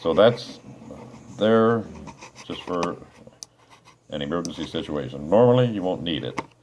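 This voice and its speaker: A man with a very deep, low pitch talks at a moderate pace with lively intonation and long, frequent pauses. Noticeable background noise is present. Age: 60s. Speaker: hobbyist aircraft designer. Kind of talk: casual tutorial. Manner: hesitant, many fillers. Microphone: phone near.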